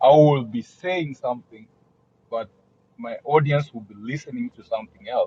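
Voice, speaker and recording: A somewhat breathy man with a fairly high pitch talks at a moderate pace, his loudness swinging widely. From Africa. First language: an African language, not English. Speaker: guest. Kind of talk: casual chat. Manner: halting, many repetitions.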